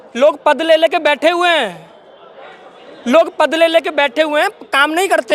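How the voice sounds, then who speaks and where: Crowd noise can be heard in the background. A man speaks at a moderate pace. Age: 30s. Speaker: political party worker. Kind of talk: interview.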